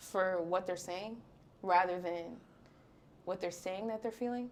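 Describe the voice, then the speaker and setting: With an unremarkable speaking voice, a woman talks at a medium pitch and a fairly slow pace, her intonation fairly even. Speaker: podcaster and influencer. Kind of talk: podcast interview answer.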